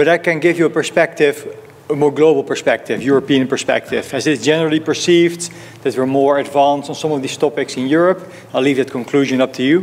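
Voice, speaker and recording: With noticeable background noise behind him, a man with a Dutch accent and a fairly high pitch talks very fast with fairly even intonation. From Netherlands. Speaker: fund manager. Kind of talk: conference talk.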